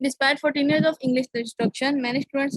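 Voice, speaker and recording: With a Pakistani accent, a woman speaks at a fairly quick pace and a high pitch. Her intonation is fairly even, and the sound is dry and close, with no echo. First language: Urdu. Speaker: conference presenter. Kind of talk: academic presentation. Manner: halting.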